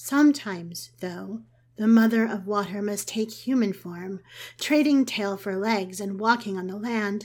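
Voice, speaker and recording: With an ordinary speaking voice, a woman at a medium pitch talks at a fairly slow pace, showing ordinary pitch variation and big swings in loudness. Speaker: podcast storyteller. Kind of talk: mythic first-person storytelling narration, scripted fairy-tale tone. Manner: slow, lyrical, measured.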